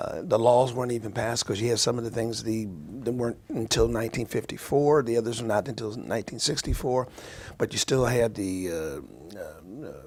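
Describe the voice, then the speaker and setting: A man speaks at a fairly quick pace with fairly even intonation and a medium pitch. The recording is very clean, with a silent background. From US Midwest, small town in Ohio. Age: 60s. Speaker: interview guest, former football player. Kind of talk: radio interview. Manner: halting, many fillers and repetitions.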